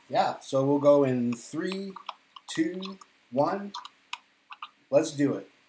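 Pausing long and often at a very slow pace, a man with an American accent speaks at a fairly high pitch with ordinary pitch variation, with audible room echo and light background noise. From Boston, Massachusetts, US; Massachusetts. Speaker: podcast host. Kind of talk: casual chat. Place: home room.

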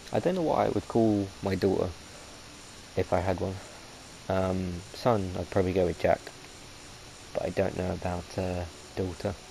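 A man's very deep, low voice at a moderate pace, fairly even intonation, long, frequent pauses, and noticeable background noise. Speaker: gaming video host. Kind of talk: let's play commentary. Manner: halting.

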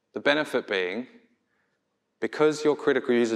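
At a moderate pace, a man talks with an Australian accent. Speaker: product designer; conference speaker. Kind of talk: conference talk. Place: stage.

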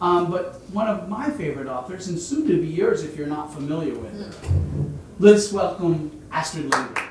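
Noticeable background noise and audible room echo surround the voice. The pace is moderate. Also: man, high pitch for a man. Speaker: event host. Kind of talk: introduction. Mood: warm, welcoming. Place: hall.

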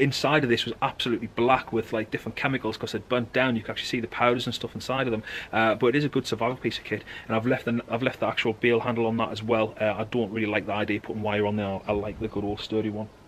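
Over light background noise, a man with a British accent speaks in a fairly even intonation. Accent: regional British dialect. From United Kingdom. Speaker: bushcraft enthusiast. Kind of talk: casual talk to camera. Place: garden. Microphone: camera far.

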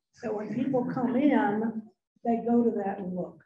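A woman talks at a moderate pace with a high pitch and lively intonation. Background noise is noticeable. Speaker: widow of a donor. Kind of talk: memorial speech. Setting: banquet hall with audience. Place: hall.

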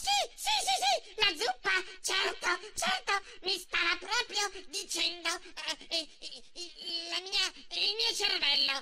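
A man uses a put-on character voice at an extremely high pitch, with clear background noise. He goes at a fairly slow pace with long, frequent pauses. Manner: grumpy, later fawning and nervous.

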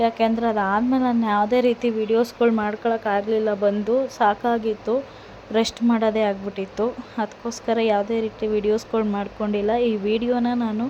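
Over noticeable background noise, a woman with a fairly high pitch speaks in a flat monotone at very even loudness. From Karnataka, Mandya district (Malavalli area). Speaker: travel vlogger. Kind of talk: travel vlog voiceover.

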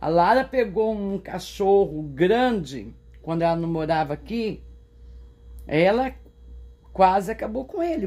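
This woman has a dark, mellow tone at a medium pitch. She talks at a fairly slow pace with lively intonation. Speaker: vlogger, smallholder. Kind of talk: casual vlog talk to camera. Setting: outdoors on a farm. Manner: animated.

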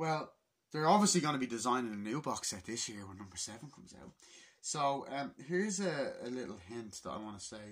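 A man with very wide pitch swings, big swings in loudness and a fairly quick pace. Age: 20s. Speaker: YouTuber, film fan. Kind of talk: casual vlog rant. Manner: animated. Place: home room. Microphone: phone near.

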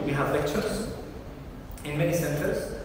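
A man's voice comes through amid noticeable background noise and strong room echo. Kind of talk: lecture. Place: hall. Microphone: camera far.

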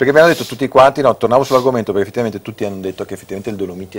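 Light background noise behind a man with ordinary pitch variation. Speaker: TV show host. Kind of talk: casual TV talk show. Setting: TV studio. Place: studio. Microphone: lapel.

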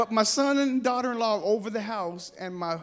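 With an American accent, a man talks at a moderate pace and ordinary pitch variation. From Bay Area, California; California. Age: 50s. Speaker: comedian. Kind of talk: stand-up; sermon. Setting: stage with audience. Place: stage. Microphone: handheld.

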